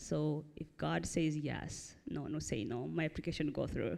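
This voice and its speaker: A woman speaks at a fairly slow pace. Her tone is dark and mellow. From Burundi. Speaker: church member, rent bank coordinator. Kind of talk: interview testimony. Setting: church stage with congregation.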